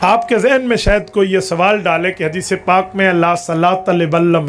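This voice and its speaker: The man's voice is high-pitched, and his intonation stays fairly even. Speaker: Islamic scholar. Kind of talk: religious lecture answering a question.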